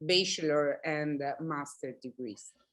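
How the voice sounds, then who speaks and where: A woman is speaking. She has an Italian accent. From Italy. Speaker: planning academic. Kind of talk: panel discussion.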